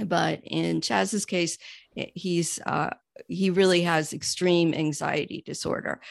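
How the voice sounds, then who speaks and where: An ordinary speaking voice with an American accent moves at a fairly slow pace with ordinary pitch variation, in a dry, close sound with no echo against a quiet background. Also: woman. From New York. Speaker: accountant. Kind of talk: interview.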